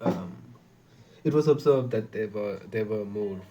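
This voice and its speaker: Soft-spoken and fairly low, a man's dark, mellow voice moves through very wide pitch swings. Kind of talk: reading aloud. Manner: halting.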